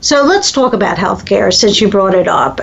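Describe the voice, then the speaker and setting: The woman speaks with an American accent. Noticeable background noise runs underneath. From US East Coast. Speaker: talk radio host, family caregiving expert. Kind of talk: radio interview.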